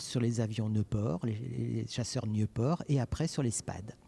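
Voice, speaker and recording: Somewhat breathy and dark, mellow in tone, a man speaks at a fairly slow pace in a medium pitch with ordinary pitch variation. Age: 60s. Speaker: private collector, son of a WWI veteran. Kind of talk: on-site interview. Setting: exhibition gallery.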